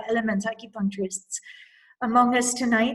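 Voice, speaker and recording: A somewhat breathy woman's voice, fairly high and fairly even in intonation, at a fairly quick pace. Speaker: healer and Taoist self-care teacher. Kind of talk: talk with questions. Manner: fast.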